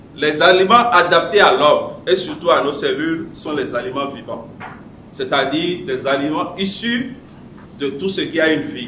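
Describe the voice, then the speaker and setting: A man with a high pitch talks at a fairly slow pace and lively intonation. Light background noise and audible room echo surround him. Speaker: public speaking club member; speaker. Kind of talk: prepared speech. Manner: read from notes. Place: meeting room. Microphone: podium.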